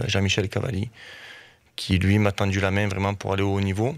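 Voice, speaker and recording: This man has a fairly low pitch. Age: 40s. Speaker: football coach. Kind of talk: radio interview.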